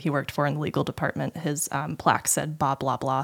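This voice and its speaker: A woman's very deep, low pitch with vocal fry and an American accent. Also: very clean recording, silent background. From Utah, US. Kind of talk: casual interview chat.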